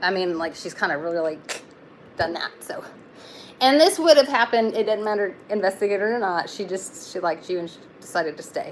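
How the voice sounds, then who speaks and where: A woman speaks at a fairly quick pace with lively intonation. Her pitch sits in the medium range. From Texas. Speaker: tarot reader. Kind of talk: live-stream tarot reading. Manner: casual, halting with fillers.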